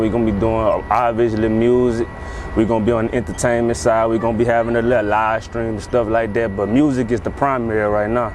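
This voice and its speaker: At a very fast pace, a man of medium pitch with an American accent talks in a monotone, flat way amid audible room echo and noticeable background noise. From US South, Baton Rouge, Louisiana. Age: 20s. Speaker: rapper and label owner. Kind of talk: interview. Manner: casual, conversational.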